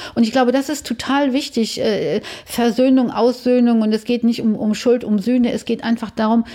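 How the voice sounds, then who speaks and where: A woman's fairly high pitch with a dark, mellow tone, fairly even intonation, and a moderate pace. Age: 60s. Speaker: bereaved daughter telling her story. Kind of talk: personal testimony interview.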